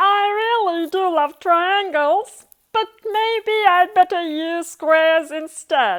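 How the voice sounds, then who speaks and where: Using a put-on character voice, a woman sounds squeaky and extremely high-pitched. Her pace is very slow. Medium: read story.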